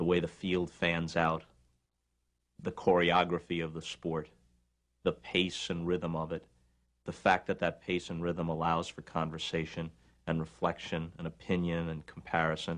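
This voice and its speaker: Over a quiet background, a man with a very deep, low pitch speaks in a monotone, flat way at a moderate pace, leaving long, frequent pauses. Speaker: interviewee. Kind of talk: interview answer. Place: office.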